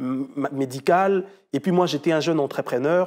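A man's fairly high, dark, mellow voice with lively intonation, against a quiet background. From DR Congo (Kinshasa); DR Congo. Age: 30s. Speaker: entrepreneur and amputee sharing his story; guest. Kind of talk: testimony. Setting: studio. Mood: earnest, at times smiling. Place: studio. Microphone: lapel.

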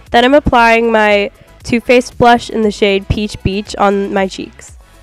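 With music in the background, a woman of medium pitch speaks at a moderate pace. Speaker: beauty vlogger. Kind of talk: makeup tutorial voiceover.

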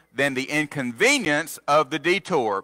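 A man speaks in a bright, sharp tone. The background is quiet. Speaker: preacher. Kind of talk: sermon. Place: church.

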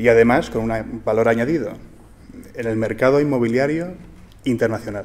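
A man speaks at a moderate pace. He leaves long, frequent pauses. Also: ordinary pitch variation. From Spain. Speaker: entrepreneur and book author. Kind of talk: formal speech. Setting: stage with audience. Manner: formal. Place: hall. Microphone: podium.

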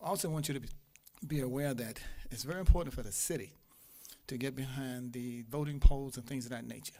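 Room echo is audible as a man talks at a fairly quick pace. His pitch is medium, with ordinary variation. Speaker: imam and public commenter. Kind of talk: public comment at city council. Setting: city council meeting. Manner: fast.

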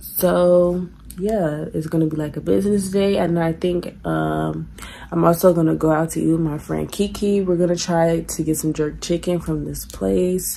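Light noise sits in the background while a woman speaks at a moderate pace. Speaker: vlogger. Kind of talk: casual vlog chat. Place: home room. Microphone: phone near.

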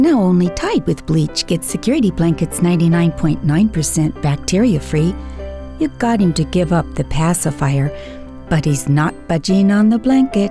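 With music in the background, a woman talks at a moderate pace and very even loudness. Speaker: voice actor. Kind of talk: TV commercial read.

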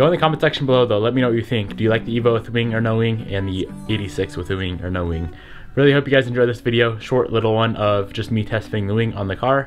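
Music plays faintly behind a man talking at a very fast pace. His pitch varies in an ordinary way. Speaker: car vlogger. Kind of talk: casual vlog chat. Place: home room. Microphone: phone near.

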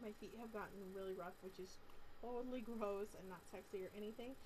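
A woman speaks with noticeable background noise. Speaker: vlogger. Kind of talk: casual vlog chat. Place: home room. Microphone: webcam.

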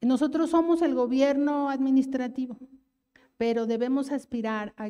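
With a Mexico City accent, a woman talks at a fairly slow pace in a dark, mellow tone, with ordinary pitch variation against a quiet background. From Mexico City (Iztapalapa). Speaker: government official; panelist. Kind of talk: political speech. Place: hall. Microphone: handheld.

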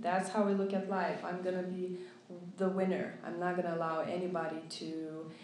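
A woman with a Lithuanian accent speaks at a fairly low pitch in a slightly mellow tone, with little pitch movement and audible room echo.

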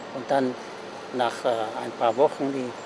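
There is noticeable background noise behind a man speaking. He talks at a moderate pace, and the sound is dry with no echo. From Germany. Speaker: retired factory worker; interviewee. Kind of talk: interview. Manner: halting. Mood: calm, reflective.

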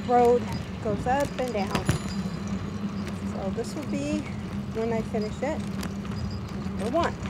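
Long, frequent pauses break up fairly slow speech under loud background noise. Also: woman. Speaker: vlogger riding her bike for exercise. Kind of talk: casual vlog chat. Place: bicycle. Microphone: phone near.

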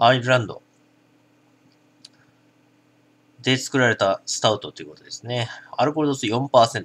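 The pace is moderate. Pitch moves in an ordinary way. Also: man. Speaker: drinking vlogger. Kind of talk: product review commentary. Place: home room.

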